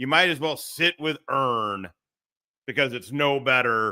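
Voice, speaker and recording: A man's bright, sharp tone with lively intonation at a fairly slow pace, in a very clean recording with a silent background. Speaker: livestream commentary host. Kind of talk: casual livestream chat.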